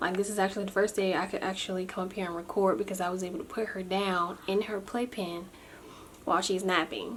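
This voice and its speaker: A quiet woman at a very fast pace, her intonation fairly even, over noticeable background noise. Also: medium pitch for a woman. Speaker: vlogger. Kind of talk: casual vlog update. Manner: quiet, low volume.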